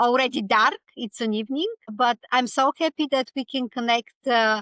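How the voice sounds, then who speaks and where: A woman with a Bulgarian accent speaks at a moderate pace in a high, bright, sharp voice with ordinary pitch variation, the sound dry and close with no echo. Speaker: author and speaker. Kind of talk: podcast interview. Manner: halting.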